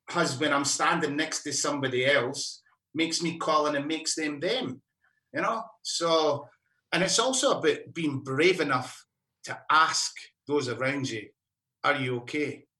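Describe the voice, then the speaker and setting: Speaking with a Scottish accent, a man with a fairly high pitch and bright, sharp tone keeps a moderate pace and ordinary pitch variation. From Scotland, mining area. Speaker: musician. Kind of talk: casual chat.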